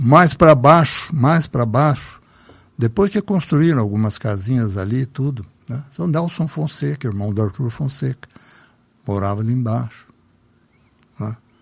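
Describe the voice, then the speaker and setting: With lively intonation and long, frequent pauses, a man talks at a medium pitch in a somewhat breathy voice. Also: fairly slow pace. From Brazil, São Paulo state (Salto, raised in Sorocaba). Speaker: local elder sharing memories. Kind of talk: casual reminiscing interview.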